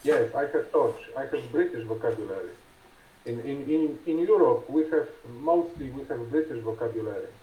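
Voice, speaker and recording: A man with a Polish accent, at a moderate pace. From Poland. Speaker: conversation partner. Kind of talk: casual conversation practice. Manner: halting.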